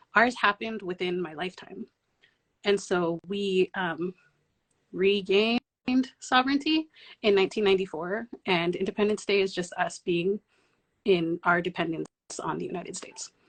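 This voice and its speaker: In a Palauan accent, a woman speaks at a medium pitch and moderate pace with ordinary pitch variation, taking long, frequent pauses, the sound dry and close with no echo. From US Pacific Northwest (Oregon), Palauan diaspora family. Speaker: community organizer. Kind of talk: panel discussion. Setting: online livestream.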